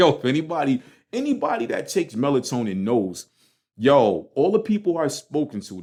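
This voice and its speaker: Someone with a Brooklyn accent speaks in an animated tone at a moderate pace, with very wide pitch swings. The recording is very clean, with a silent background. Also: man. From Brooklyn, New York. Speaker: podcast host. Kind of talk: casual monologue. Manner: animated, slangy.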